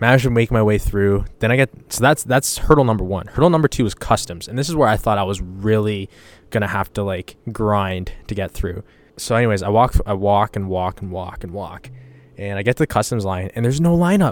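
With a Canadian accent, a man speaks fairly quickly at a fairly low pitch with ordinary pitch variation, captured on a very clean recording with a silent background. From Canada. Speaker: podcast host. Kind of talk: casual monologue. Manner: animated.

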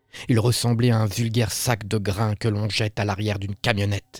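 Music plays in the background as a man talks at a moderate pace. His pitch is fairly low, his intonation fairly even, and the sound is dry and close with no echo. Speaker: horror story narrator. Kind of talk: horror story narration read aloud.

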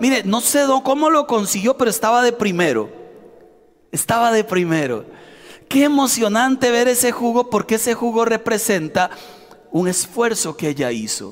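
Speaking with a Costa Rican accent, a man with an extremely high pitch uses lively intonation against noticeable background noise. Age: 40s. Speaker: pastor. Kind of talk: sermon.

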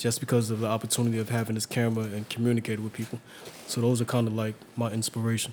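Speaking very fast in a New York accent, a man holds a medium pitch with monotone, flat intonation. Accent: New York (Bronx). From New York City, Harlem and Hunts Point, Bronx. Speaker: photographer and youth photography teacher. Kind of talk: casual interview.

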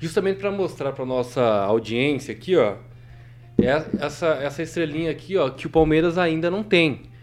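Music plays behind a man talking at a moderate pace. His voice is fairly high, with lively intonation. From southwest Paraná, Brazil. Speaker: talk show host. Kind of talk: casual chat. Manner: animated.

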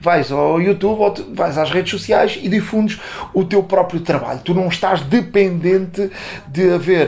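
A man's high-pitched voice at a moderate pace, ordinary pitch variation, noticeable background noise behind it. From Portugal, Montijo. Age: 50s. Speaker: sports journalist. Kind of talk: interview. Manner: halting, many fillers and repetitions.

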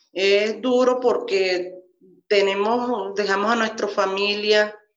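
Heard with audible room echo, a woman speaks at medium pitch with ordinary pitch variation. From Venezuela, Maturín, Monagas. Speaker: migrant worker and foundation volunteer. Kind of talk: testimony.

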